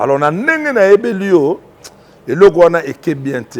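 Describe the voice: A man speaks at a moderate pace, his fairly high pitch making big swings up and down.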